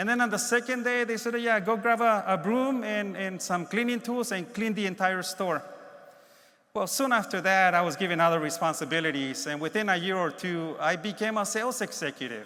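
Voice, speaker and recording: In a raised, projected voice with a Spanish accent, a man talks at a fairly quick pace in a high pitch and a bright, sharp tone, with ordinary pitch variation and audible room echo. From Mexico, moved to Los Angeles as a child. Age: 60s. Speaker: keynote speaker, space agency program executive. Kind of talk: keynote speech. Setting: conference stage with audience.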